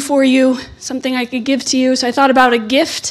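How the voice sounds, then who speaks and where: A woman with an American accent, high-pitched, very fast, and monotone in flat intonation, over noticeable background noise. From United States. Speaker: legal scholar, invited lecturer. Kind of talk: lecture.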